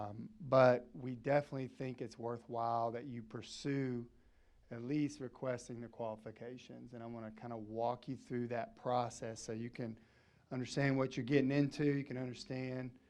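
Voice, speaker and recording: Speaking at a moderate pace, a man with a Southern US accent has a medium pitch and monotone, flat intonation. His loudness swings in big ways. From Arkansas. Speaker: energy services company representative. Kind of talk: presentation to city council.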